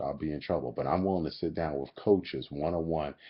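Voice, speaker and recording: The speaker has an animated tone and moves at a fairly quick pace. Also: man. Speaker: fitness coach. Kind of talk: webcam vlog. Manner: talking low.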